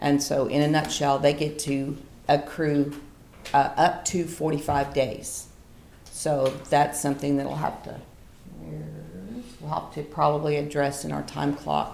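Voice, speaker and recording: A woman with a very deep, low pitch speaks at a moderate pace in monotone, flat intonation, with audible room echo around her. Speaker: county staff presenting personnel policy. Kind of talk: public meeting presentation. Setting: county commissioners court meeting. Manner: loud; hesitant with fillers.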